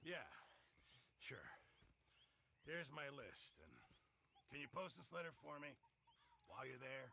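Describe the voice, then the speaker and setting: A man performs a raspy put-on character voice at a fairly high pitch. He keeps a moderate pace with long, frequent pauses. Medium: video game.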